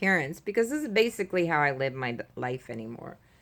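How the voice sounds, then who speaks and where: A woman is speaking. Her pace is moderate. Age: 60s. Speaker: retired caregiver sharing health story. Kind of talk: personal testimony. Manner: hesitant, many fillers.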